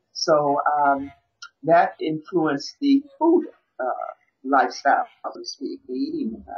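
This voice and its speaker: Over music in the background, a woman with an American accent speaks fairly slowly with long, frequent pauses. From Milwaukee, Wisconsin, US Midwest. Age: 50s. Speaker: vegan chef and coach. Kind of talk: interview.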